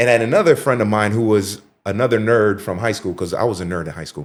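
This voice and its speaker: A man talks at a very fast pace in an animated tone, with a Miami accent and fairly low pitch. The recording is very clean, with a silent background. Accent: Miami American English. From Miami, Florida (Haitian parents). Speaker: TV personality and Air Force veteran. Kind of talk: casual interview chat.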